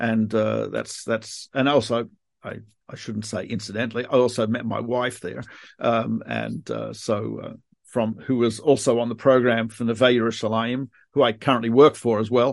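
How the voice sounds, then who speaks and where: A man with a medium pitch and an Australian accent, moderate pace, monotone, flat intonation, and a quiet background. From Australia, Melbourne. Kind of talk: interview. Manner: halting.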